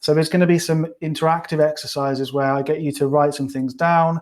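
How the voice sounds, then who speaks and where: A man's fairly high, monotone voice with a British accent, fairly quick, in a dry, close sound with no echo and flat intonation. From UK. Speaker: clinical psychologist and coach. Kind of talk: webinar presentation. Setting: live online webinar. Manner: casual, many fillers.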